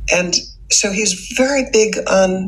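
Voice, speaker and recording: Noticeable background noise surrounds a woman as she speaks. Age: 70s. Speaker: anti-trafficking advocate and author. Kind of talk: casual chat.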